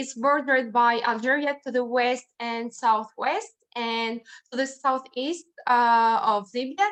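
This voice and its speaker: A woman speaks at a high pitch. Her pace is fairly slow. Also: ordinary pitch variation. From Tunisia. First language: Arabic (Tunisian). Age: 20s. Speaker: scout youth representative and law student. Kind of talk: online presentation. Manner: halting with many fillers.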